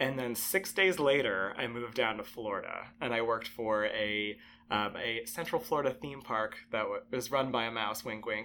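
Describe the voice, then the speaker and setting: Using an American accent, a man speaks at a medium pitch and moderate pace, his tone bright and sharp and his intonation lively. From Connecticut (Bridgeport, Trumbull). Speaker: zookeeper. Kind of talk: interview. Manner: casual, with frequent fillers.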